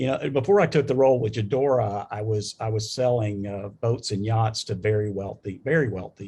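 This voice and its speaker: Speaking at a fairly quick pace with hardly any pauses, a man with a Southern US accent has a fairly low, dark, mellow, somewhat breathy voice with ordinary pitch variation. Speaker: business executive, panelist. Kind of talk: panel discussion. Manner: halting, many fillers and restarts.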